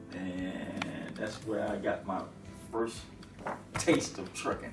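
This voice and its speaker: Clear music plays in the background. Over it, a man is speaking. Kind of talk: interview answer. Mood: relaxed, smiling. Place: home room. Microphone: camera far.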